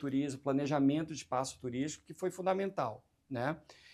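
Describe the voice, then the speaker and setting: His intonation lively, a man speaks at a fairly high pitch. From Brazil, Recife (Pernambuco). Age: 40s. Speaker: hotel chain marketing director. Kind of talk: interview on business talk show.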